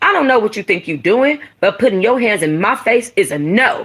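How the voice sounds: Putting on a character voice, a woman speaks at a moderate pace with big pitch swings, a fairly bright tone and a slightly husky edge. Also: medium pitch for a woman.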